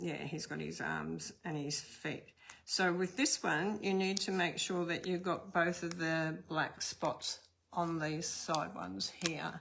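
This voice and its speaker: Very slowly, a woman speaks with an Australian accent. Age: old. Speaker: card-making instructor. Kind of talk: tutorial. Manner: casual, chatty.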